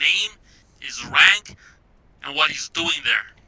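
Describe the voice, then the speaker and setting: A man talks here. Behind his voice, background noise is noticeable. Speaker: tabletop game player. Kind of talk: tabletop role-playing game play.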